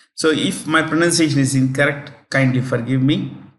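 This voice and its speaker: At a moderate pace, a man speaks in a fairly high pitch for a man with ordinary pitch variation, and audible room echo surrounds him. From South India, Telangana. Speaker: exam prep teacher. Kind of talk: lecture. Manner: hesitant, many fillers.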